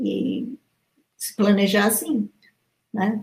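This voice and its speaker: A woman with fairly even intonation. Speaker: pilot and author. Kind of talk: casual interview. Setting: video call livestream.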